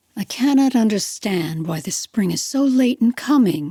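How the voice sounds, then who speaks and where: A gruff, put-on character voice, female-sounding and fairly high in pitch, at a moderate pace. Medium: read story. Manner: blunt, grumbling.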